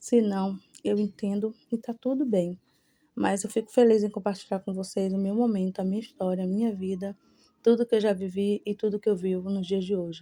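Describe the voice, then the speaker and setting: Her medium-pitched voice has a dark, mellow tone, and the woman speaks at a moderate pace with fairly even intonation. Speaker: home vlogger. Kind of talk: voice-over narration. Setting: cleaning at home. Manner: breathless, sounds like chewing.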